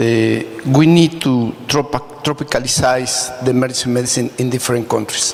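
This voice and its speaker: A man with a Spanish accent at a moderate pace, ordinary pitch variation, and noticeable background noise. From Mexico. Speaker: emergency physician. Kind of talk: audience question at a medical congress panel.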